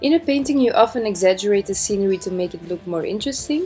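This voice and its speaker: Over music in the background, a woman talks at a very fast pace with a medium pitch and lively intonation. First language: not English. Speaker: amateur oil painter. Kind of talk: painting tutorial voiceover.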